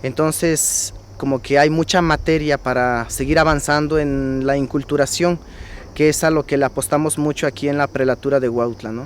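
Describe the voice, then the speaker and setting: With noticeable background noise behind him, a man talks at a moderate pace, his fairly high pitch carried by fairly even intonation. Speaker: priest. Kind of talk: testimony.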